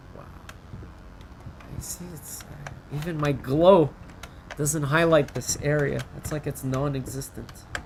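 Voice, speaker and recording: Long, frequent pauses break up the fairly slow speech, with noticeable background noise throughout. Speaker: gaming commentator. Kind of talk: game playthrough commentary. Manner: soft-spoken, quasi ASMR; calm, chill.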